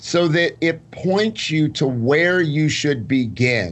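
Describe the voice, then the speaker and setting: A man has an ordinary speaking voice. It sits at a fairly high pitch, with lively intonation. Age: 60s. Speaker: clinical pharmacist and nutritionist. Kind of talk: interview.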